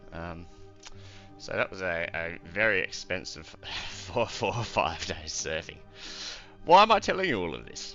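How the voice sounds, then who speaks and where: A man with a strong Australian accent and a very deep, low pitch, with music in the background. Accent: broad Australian, ocker. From Australia, half British, schooled in England as a child. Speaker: let's play gamer.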